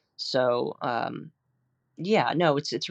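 A woman's very deep, low voice with vocal fry and an American accent, over a quiet background. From New Jersey, New York metro area. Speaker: landscape painter. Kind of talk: interview.

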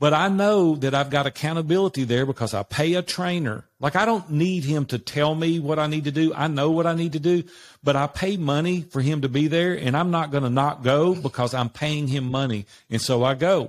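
A man with a Southern US accent, fairly high-pitched, at a fairly quick pace, with ordinary pitch variation. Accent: Southern American. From US South, Nashville, Tennessee. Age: 60s. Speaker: business coach. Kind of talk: interview.

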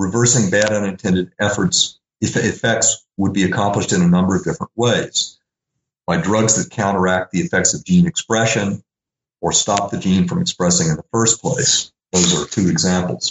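With an American accent, a man speaks in an ordinary speaking voice at a moderate pace, his pitch fairly low and his intonation lively. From US South, Little Rock, Arkansas. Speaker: philosophy professor. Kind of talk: interview.

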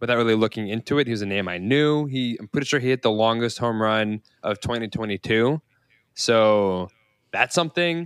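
In a dry, close recording with no echo, a man with an ordinary speaking voice talks at a fairly quick pace, at a medium pitch with ordinary pitch variation. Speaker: podcast co-host. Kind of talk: casual chat. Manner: joking.

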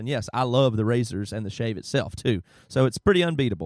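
Talking at a very fast pace, a man uses ordinary pitch variation in a dry, close sound with no echo. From US South. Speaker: podcast host. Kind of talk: casual chat.

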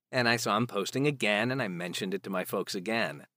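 A man with an American accent, vocal fry, lively intonation and a fairly quick pace. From US Midwest, Chicago area. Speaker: actor and audiobook narrator. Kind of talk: casual chat. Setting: remote call. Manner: quiet.

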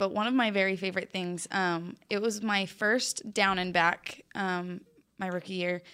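A woman with an American accent and an ordinary speaking voice, medium in pitch with ordinary pitch variation. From Utah. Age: 20s. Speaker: professional cheerleader. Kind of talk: casual chat. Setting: studio.

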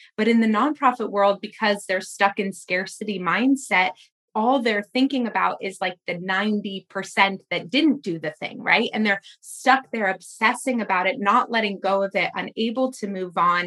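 A loud voice with a bright, sharp tone runs on with hardly any pauses and ordinary pitch variation. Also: woman, medium pitch for a woman, moderate pace. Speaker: podcast host and fundraising coach. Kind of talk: interview.

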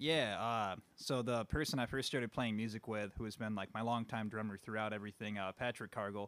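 This man has an ordinary speaking voice and a fairly low pitch. He moves at a fairly quick pace with hardly any pauses. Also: fairly even intonation. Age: 20s. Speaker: musician. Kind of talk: casual interview.

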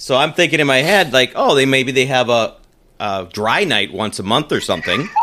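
A man's normal speaking voice, medium in pitch, at a moderate pace with lively intonation. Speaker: podcast co-host. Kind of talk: casual chat. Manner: playful.

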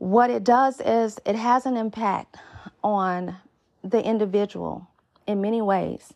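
Using an unremarkable speaking voice, a woman with a medium pitch talks at a fairly slow pace with fairly even intonation. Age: 30s. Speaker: dating podcast host. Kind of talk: solo podcast monologue.

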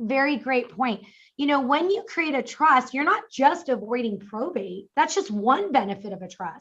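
An animated, high-pitched woman's voice with an American accent and very wide pitch swings. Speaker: estate planning attorney. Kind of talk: interview and Q&A advice. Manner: fast, animated.

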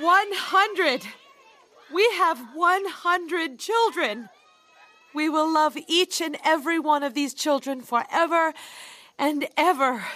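A woman's put-on character voice, high-pitched, bright and sharp in tone, slow, with long, frequent pauses. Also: ordinary pitch variation.

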